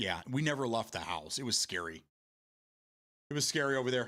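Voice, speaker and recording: A man with a Michigan accent and fairly even intonation, on a very clean recording with a silent background. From Michigan, US. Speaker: live streamer. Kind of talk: casual chat reading live chat. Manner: halting, many repeated words.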